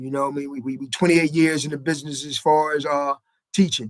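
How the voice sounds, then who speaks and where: Fairly high in pitch, a man speaks at a very fast pace. The sound is dry and close, with no echo. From Wilmington, Delaware, east side. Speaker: teacher and barber. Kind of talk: casual interview chat.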